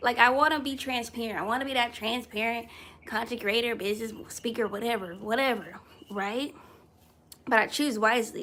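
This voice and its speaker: A loud woman's voice, bright and sharp, animated in tone and fairly quick in pace. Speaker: content creator and motivational speaker. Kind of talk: inspirational talk, live video.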